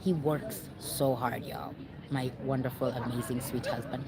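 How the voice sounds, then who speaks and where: A woman with a very deep, low pitch, audible room echo and noticeable background noise. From Kenya. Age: 40s. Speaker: vlogger. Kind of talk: casual vlog talk. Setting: outdoors. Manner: halting.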